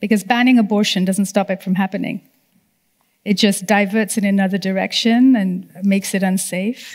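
Against a quiet background, a woman with an American accent speaks at a moderate pace in a somewhat breathy voice with monotone, flat intonation. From Nepal. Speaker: human rights lawyer; panelist. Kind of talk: panel discussion. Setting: debating chamber with live audience.

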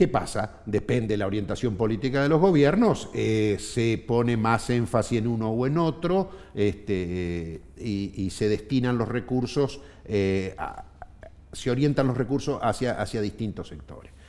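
A man with a Rioplatense accent speaks at a medium pitch and a fairly slow pace. His intonation is lively. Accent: Argentine Spanish (rioplatense). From Argentina, Neuquén province. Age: 50s. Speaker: trade union leader; guest. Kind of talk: interview. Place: studio. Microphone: headset.

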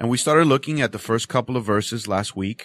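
A man talks at a moderate pace and medium pitch, with lively intonation, in an unremarkable speaking voice. The sound is dry and close with no echo, in a very clean recording with a silent background. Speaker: radio preacher. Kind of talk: bible study teaching. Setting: radio studio.

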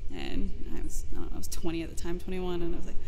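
A woman talks at a fairly quick pace, her pitch swinging very widely. Light background noise sits behind her. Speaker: interviewee. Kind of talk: interview answer. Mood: reflective, light laughter. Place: garden. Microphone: studio mic.

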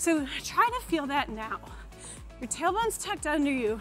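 At a moderate pace, a woman with a high pitch speaks over faint music in the background. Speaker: fitness coach. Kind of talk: workout instruction. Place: studio. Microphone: lapel.

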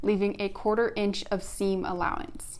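Her pace is moderate as this woman talks. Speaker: sewing instructor. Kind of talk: tutorial. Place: home room.

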